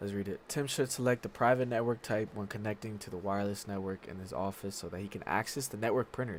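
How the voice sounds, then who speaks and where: A man speaks at a very fast pace. His pitch is fairly low, with ordinary variation. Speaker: streamer studying for IT certification. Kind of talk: live study stream. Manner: reading aloud haltingly.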